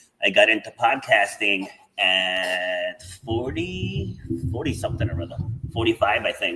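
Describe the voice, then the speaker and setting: A man is speaking. Music plays in the background. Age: 50s. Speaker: podcast host. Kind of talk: podcast interview.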